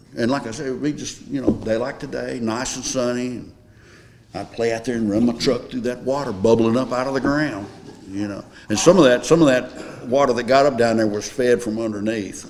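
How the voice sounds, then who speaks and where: With a Tennessee accent, the speaker moves at a fairly quick pace with fairly even intonation. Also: man, medium pitch for a man. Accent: Southern US (Tennessee). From Smyrna, Tennessee. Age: 70s. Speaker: local resident sharing memories. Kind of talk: oral history group conversation.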